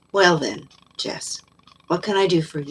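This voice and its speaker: A woman puts on a raspy character voice, fairly low in pitch with ordinary pitch variation. Her pace is moderate. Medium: read story. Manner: terse, guarded.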